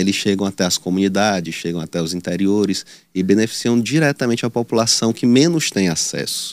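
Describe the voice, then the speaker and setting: Here a man with a fairly low pitch and a plain, everyday voice talks at a fairly quick pace with ordinary pitch variation, on a very clean recording with a silent background and a dry, close sound with no echo. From Teresina, Piauí, northeastern Brazil. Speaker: political candidate. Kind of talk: news interview.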